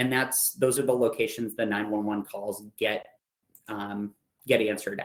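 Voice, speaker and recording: A man talks at a moderate pace with fairly even intonation and a medium pitch, in a plain, everyday voice. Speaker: EMS instructor. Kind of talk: lecture.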